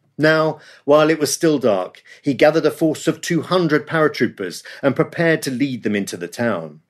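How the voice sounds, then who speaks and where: In a dramatic tone, a man with a fairly high pitch and vocal fry talks at a moderate pace against a quiet background. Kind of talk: history documentary narration. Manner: measured, dramatic storytelling, building tension; clear, formal, vivid.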